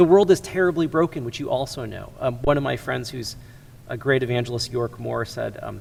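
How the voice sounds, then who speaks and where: A man with an American accent talks at a very fast pace with lively intonation. Vocal fry runs through his voice. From US Midwest, Chicago area. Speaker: ministry executive. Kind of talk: interview conversation.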